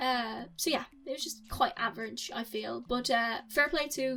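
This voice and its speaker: A woman speaks at a high pitch with an Irish accent. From Republic of Ireland. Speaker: YouTuber film reviewer. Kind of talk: casual film review monologue. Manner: animated, casual with fillers.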